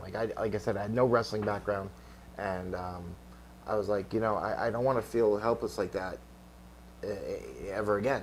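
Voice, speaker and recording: Speaking at a fairly quick pace, a man has a New York accent. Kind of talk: interview. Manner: halting, many repeated words.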